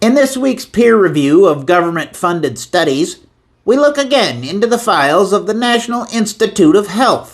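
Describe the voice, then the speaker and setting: A man's high, put-on character voice at a moderate pace, full of very wide pitch swings. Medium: voice reel.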